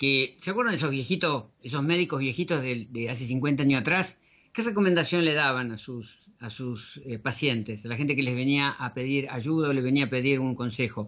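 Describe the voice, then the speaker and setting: His pitch sits fairly high. The man's intonation is lively. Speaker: radio host, natural health educator. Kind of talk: radio show presentation. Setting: studio. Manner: halting with fillers.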